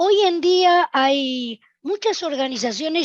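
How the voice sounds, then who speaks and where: A woman speaks at a very slow pace, her pitch moving in very wide swings. The sound is dry and close, with no echo. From Argentina. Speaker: software testing speaker. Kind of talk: conference talk.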